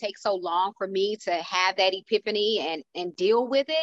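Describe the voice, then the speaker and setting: This is a normal speaking voice, delivered at a moderate pace with ordinary pitch variation. No echo is heard, as the sound stays dry and close. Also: woman. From Houston, Texas. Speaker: motivational speaker and speaker coach. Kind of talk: casual panel discussion.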